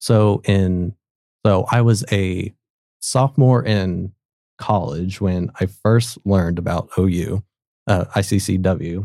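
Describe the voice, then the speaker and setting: A man with a very deep, low pitch and a dark, mellow tone speaks at a very slow pace with an American accent and ordinary pitch variation. The sound is dry and close with no echo, on a very clean recording with a silent background. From Oklahoma, near Tulsa. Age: 20s. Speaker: university student and intern team lead. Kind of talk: casual interview.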